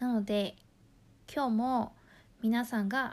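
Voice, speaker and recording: A woman speaks in a Mandarin Chinese accent at a fairly slow pace, with ordinary pitch variation. The recording is very clean and the background silent. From Taiwan. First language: Mandarin Chinese (speaking Japanese). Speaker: language teacher. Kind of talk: tutorial.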